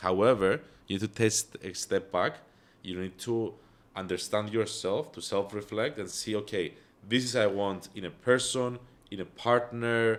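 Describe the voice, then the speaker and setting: This man speaks with a Greek accent at a fairly low pitch. His pace is moderate and his intonation fairly even. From Cyprus. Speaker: entrepreneur. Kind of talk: podcast interview. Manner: hesitant, many fillers.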